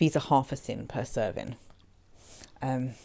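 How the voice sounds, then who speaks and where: This is a woman's voice. She speaks with an English accent. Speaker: food and lifestyle vlogger. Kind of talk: product review vlog. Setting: home, late at night.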